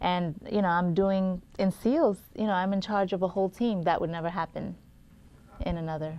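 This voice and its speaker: Here a woman talks in a Brooklyn accent at a medium pitch. Her pace is moderate and her intonation fairly even. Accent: Brooklyn, regional. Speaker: actor. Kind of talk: panel interview.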